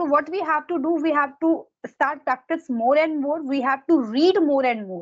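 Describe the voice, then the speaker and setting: A woman with an Indian accent has a high pitch. Her intonation is lively, and her pace is moderate. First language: Hindi. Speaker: exam preparation mentor. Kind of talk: casual advice conversation.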